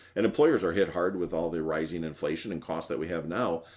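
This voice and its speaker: A man with an American accent and a very deep, low pitch talks at a fairly quick pace. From Wisconsin. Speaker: benefits broker. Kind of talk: presentation. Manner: fast.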